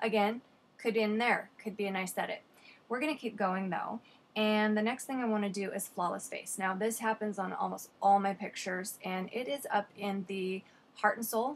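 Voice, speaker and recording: A woman with an unremarkable speaking voice talks at a moderate pace and medium pitch, her intonation fairly even. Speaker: photographer and photo editing tutor. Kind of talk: tutorial.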